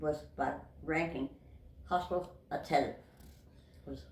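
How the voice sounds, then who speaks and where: A woman with a New England accent. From Massachusetts. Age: 80s+. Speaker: World War II veteran. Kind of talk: interview answer.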